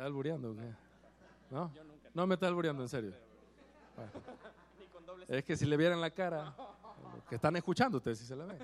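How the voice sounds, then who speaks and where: Talking at a very fast pace with long, frequent pauses, a man with a fairly high pitch uses lively intonation and big swings in loudness. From Mexico. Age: old. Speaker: salsa band singer. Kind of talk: live concert stage banter. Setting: stage with audience. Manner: animated.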